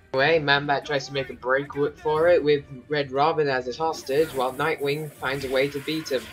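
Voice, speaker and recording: Music plays behind a man speaking at a fairly quick pace and fairly high pitch. His tone is bored, his intonation monotone and flat. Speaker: movie reviewer. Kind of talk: commentary over film clips. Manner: sarcastic, bored tone.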